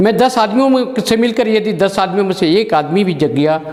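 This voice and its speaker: A man at a moderate pace with lively intonation, over noticeable background noise. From Chhattisgarh, India. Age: 60s. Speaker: social activist. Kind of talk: personal testimony address. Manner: formal.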